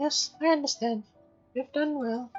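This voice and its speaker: Over faint music in the background, a female-sounding put-on character voice speaks at a moderate pace in a high pitch. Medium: solo performance. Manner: formal, dignified.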